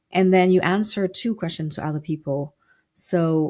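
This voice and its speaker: This woman speaks with a Vietnamese accent in a dark, mellow tone, her pitch varying in an ordinary way. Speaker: business consultant and professor. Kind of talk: interview.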